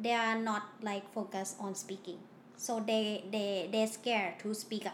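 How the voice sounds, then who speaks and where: A woman's fairly high voice with a Thai accent, monotone, flat intonation and audible room echo. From Thailand. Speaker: student at a Mandarin language school. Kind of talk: casual interview. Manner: halting, repeats words.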